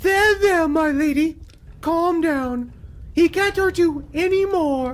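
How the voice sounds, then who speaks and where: In a put-on character voice, someone speaks at an extremely high pitch and a fairly slow pace. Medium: audio drama.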